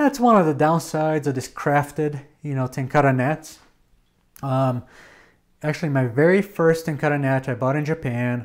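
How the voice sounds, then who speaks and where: Speaking at a moderate pace, a man uses a fairly high voice with ordinary pitch variation. The recording is very clean, with a silent background. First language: not English. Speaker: podcast host, tenkara fly-fishing business owner. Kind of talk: casual explanatory podcast monologue. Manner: conversational with many fillers.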